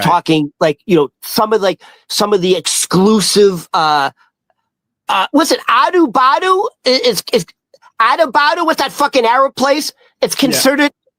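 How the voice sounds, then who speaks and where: This speaker talks at a moderate pace in a Boston accent. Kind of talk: casual, profane. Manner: casual, halting, many fillers.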